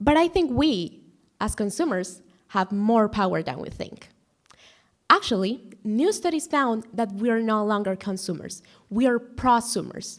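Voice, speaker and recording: A woman with a Spanish accent, fairly high in pitch, with lively intonation at a moderate pace. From Guatemala. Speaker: student speaker. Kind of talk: prepared talk.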